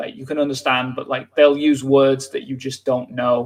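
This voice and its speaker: This man speaks with a Yorkshire accent. His intonation is monotone and flat. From northern England, North Yorkshire. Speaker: English teacher. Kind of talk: live stream lesson chat. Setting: live stream.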